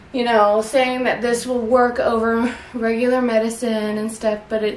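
A woman's voice amid light background noise and audible room echo. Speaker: home herbalist vlogger. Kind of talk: casual vlog chat. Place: kitchen. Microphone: camera far.

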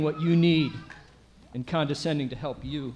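It's an unremarkable speaking voice from a man with a fairly high pitch and fairly even intonation, at a moderate pace. Light background noise is present. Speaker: local politician acting as emcee. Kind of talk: ceremonial speech. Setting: stage with audience. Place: stage. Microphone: podium.

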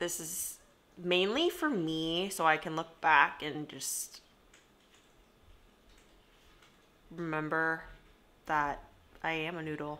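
At a very slow pace, a woman speaks with a bright, sharp tone, a fairly low pitch, fairly even intonation, and long, frequent pauses. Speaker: vlogger. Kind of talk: casual vlog chat. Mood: shy, self-deprecating. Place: home room. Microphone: phone near.

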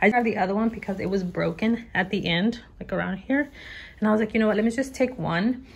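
A woman with an American accent speaks very fast at a fairly high pitch. Her voice is somewhat breathy, with ordinary pitch variation. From Texas. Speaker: YouTuber, lifestyle vlogger. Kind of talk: casual vlog haul, talking to camera. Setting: at home, living room, parrot in background. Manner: animated. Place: home room. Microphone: phone near.

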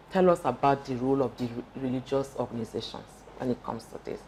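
A woman speaks with a very deep, low pitch. There is light background noise. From Nigeria. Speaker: doctor, TV show co-host; TV show co-host. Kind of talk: TV talk show discussion. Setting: TV studio. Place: studio. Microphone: lapel.

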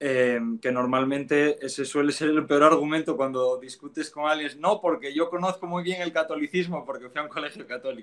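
Speaking at a fairly quick pace, a man with a Spanish accent has a fairly high pitch. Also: ordinary pitch variation. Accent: Spanish (Spain). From Spain, Asturias. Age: 20s. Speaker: former Protestant convert to Catholicism. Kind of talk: interview conversation.

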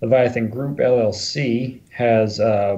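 Somewhat breathy and dark, mellow in tone, a man speaks at a medium pitch. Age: early 40s. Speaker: movie prop firearms supplier. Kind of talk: casual interview chat.

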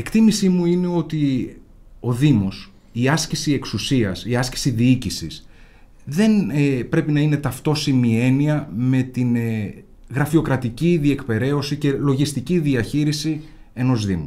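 A man's dark, mellow voice at a fairly slow pace, with ordinary pitch variation. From Greece, Central Macedonia (Imathia); Central Macedonia, Greece. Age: 40s. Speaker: lawyer and local election candidate; lawyer, election candidate. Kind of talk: interview. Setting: studio. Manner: formal. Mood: earnest political argument. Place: studio. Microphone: studio mic.

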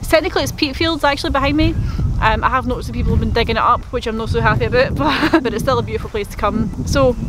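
A woman talks at a very fast pace, the sound dry with no echo but with noticeable background noise. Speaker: nature photographer vlogger. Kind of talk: casual vlog chat. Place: open country. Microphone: phone near.

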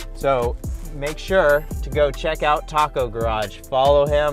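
Faint music sits behind a man whose voice has ordinary pitch variation and a dry sound with no echo. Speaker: truck owner reviewer. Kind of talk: product review tutorial. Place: car. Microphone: camera far.

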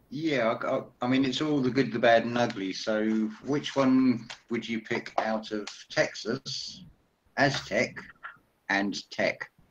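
A man speaks at a very slow pace with fairly even intonation over light background noise. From Essex, England; England. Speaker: spiritual commentator. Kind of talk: casual chat; group discussion on a call. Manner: halting. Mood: reflective, spiritual topics. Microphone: video call.

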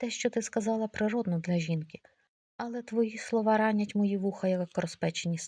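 The background stays quiet. A natural reading voice carries ordinary pitch variation.

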